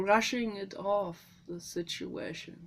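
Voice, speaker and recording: Speaking very slowly, a woman talks in a German accent. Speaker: animal welfare vlogger. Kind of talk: personal vlog monologue. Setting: greenhouse. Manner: emotional, halting.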